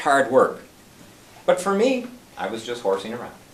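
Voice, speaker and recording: Very wide pitch swings mark this moderate-paced voice with an American accent, heard over noticeable background noise. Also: man. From US Midwest (North Dakota, Wisconsin). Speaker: club member giving a speech. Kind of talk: prepared speech.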